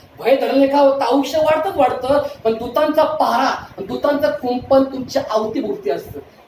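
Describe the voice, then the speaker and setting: Amid noticeable background noise, a man speaks at an extremely high pitch. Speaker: pastor, preacher. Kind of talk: sermon, preaching to a congregation.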